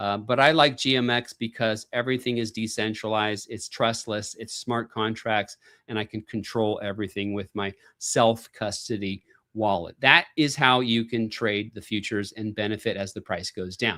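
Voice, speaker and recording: With a plain, everyday voice, a man speaks at a moderate pace and fairly low pitch with fairly even intonation, in a dry, close sound with no echo on a very clean recording with a silent background. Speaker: crypto investing youtuber. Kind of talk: live stream tutorial. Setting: live stream.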